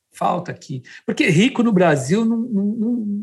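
Recorded very cleanly against a silent background, a man speaks at a moderate pace, high in pitch, with lively intonation. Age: 60s. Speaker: architect and podcast co-host. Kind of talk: casual interview chat.

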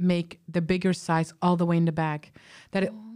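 Speaking at a fairly quick pace, a woman with a fairly low pitch and a dark, mellow tone is heard on a very clean recording with a silent background. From Belgium. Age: 30s. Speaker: stand-up comedian. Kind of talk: casual chat. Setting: studio. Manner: animated.

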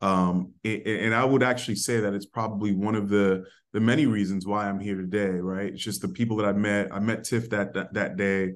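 Against a quiet background, a man with an American accent talks at a fairly quick pace with hardly any pauses, a fairly low pitch and fairly even intonation. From New York City, the Bronx. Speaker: corporate diversity executive. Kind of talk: interview conversation. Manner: rolls his R's when saying his name; hesitant, many fillers.

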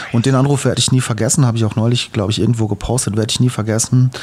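Noticeable background noise behind a man of medium pitch with monotone, flat intonation. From Hesse, Germany (eastern Hesse, Main-Kinzig district). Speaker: podcast co-host, video producer. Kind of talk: casual conversation, life story.

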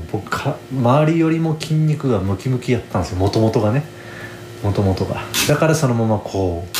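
The loudness stays very even throughout. Noticeable background noise is present. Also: man, medium pitch for a man, lively intonation, moderate pace. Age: 30s. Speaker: podcast host, guesthouse owner. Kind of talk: casual solo monologue. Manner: relaxed, rambling with many fillers.

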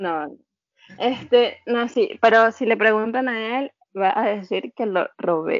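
With a Venezuelan accent, a woman speaks at a very slow pace in a fairly high pitch with ordinary pitch variation. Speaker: emigrant guest. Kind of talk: casual interview chat.

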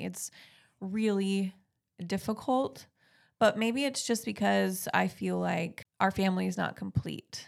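A woman at a fairly slow pace, in a very clean recording with a silent background. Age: 30s. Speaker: podcast co-host. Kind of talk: casual chat. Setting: studio.

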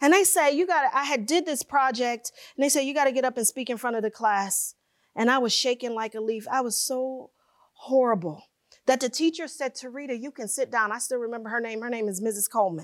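A very fast pace with lively intonation and an animated tone. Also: woman, high pitch for a woman. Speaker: keynote speaker. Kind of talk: keynote speech. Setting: stage with audience.

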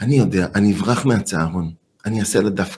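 Somewhat breathy, the voice moves at a fairly quick pace with very wide swings in pitch. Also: man. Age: 50s. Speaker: anger management expert. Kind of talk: interview.

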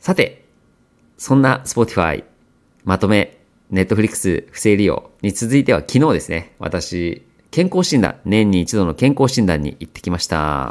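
An ordinary speaking voice from a man, fairly low-pitched and lively in intonation, at a fairly slow pace with big swings in loudness, on a very clean recording with a silent background. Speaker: podcast host. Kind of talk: casual monologue for language learners.

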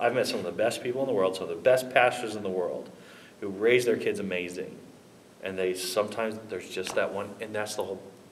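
Over noticeable background noise and audible room echo, a man speaks at a very fast pace. His pitch is fairly low, with fairly even intonation. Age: 30s. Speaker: pastor. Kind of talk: casual chat.

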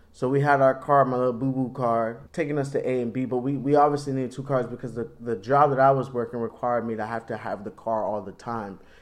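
A man talks at a very fast pace with hardly any pauses and fairly even intonation. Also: medium pitch for a man. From Florida. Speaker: married couple podcast co-host. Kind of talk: casual chat.

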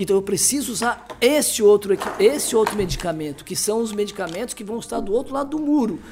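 This man talks at a fairly quick pace with a high pitch. Noticeable background noise can be heard. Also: hardly any pauses. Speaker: pediatrician. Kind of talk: interview. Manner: halting.

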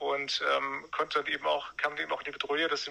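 There is noticeable background noise. Through it, a man speaks fairly quickly. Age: 40s. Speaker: former brain researcher advising on medication withdrawal. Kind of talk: interview.

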